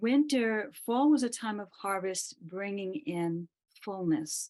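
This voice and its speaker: A woman with a medium pitch speaks at a very slow pace. Her intonation is lively, and her loudness swings widely. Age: 60s. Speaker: massage therapist, participant. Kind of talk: sharing in an online prayer gathering.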